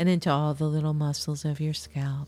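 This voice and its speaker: Very deep, low-pitched woman's voice in a soothing tone with music in the background. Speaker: podcast host and guided meditation leader; astrologer and hypnotherapist. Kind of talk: guided meditation; educational talk then guided meditation. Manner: slow, soft, soothing and hypnotic with long pauses; calm, gentle, measured pacing.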